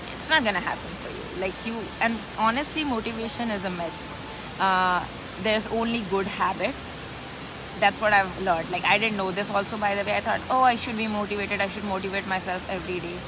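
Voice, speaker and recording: A woman speaks with an Indian accent. Audible room echo and noticeable background noise surround her voice. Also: medium pitch for a woman, fairly quick pace. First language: an Indian language. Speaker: business coach. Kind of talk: live stream chat. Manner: animated.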